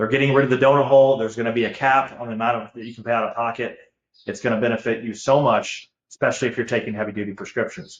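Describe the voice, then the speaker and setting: A man's medium-pitched voice with an American accent, very fast and with big swings in loudness. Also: fairly even intonation. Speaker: Medicare insurance broker. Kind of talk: webinar presentation. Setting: live webinar.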